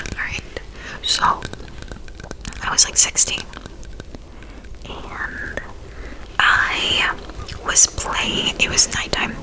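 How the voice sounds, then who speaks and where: Whispering at a very slow pace with long, frequent pauses over noticeable background noise. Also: woman. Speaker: ASMR creator. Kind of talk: personal ghost story told to camera. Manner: casual, chatty.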